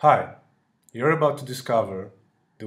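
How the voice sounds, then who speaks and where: A man speaks with a somewhat breathy voice and a European accent. Audible echo from the room surrounds him. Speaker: dating coach. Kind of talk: sales pitch.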